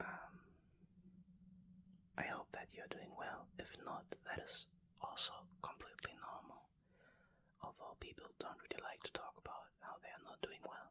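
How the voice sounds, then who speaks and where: The speaker whispers at a moderate pace, stopping often and for long stretches. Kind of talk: ASMR card collecting talk. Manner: whispered.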